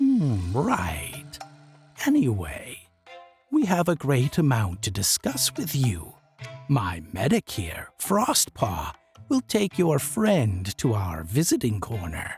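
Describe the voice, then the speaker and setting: Over faint background music, a man puts on a character voice at a medium pitch, speaking at a very slow pace. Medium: read story. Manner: measured, formal.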